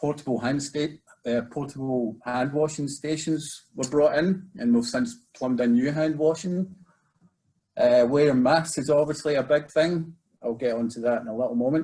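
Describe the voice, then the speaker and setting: A man with a Scottish accent and a dark, mellow tone. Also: fairly high pitch for a man, ordinary pitch variation. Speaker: residential treatment program manager. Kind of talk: webinar presentation. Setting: video webinar. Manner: fast.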